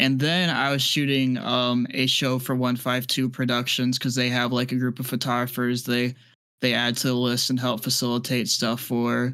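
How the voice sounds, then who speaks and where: A man's flat, monotone delivery with an American accent, medium pitch, moderate pace and very even loudness. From US Midwest. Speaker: podcast host, concert photographer. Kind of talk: casual chat.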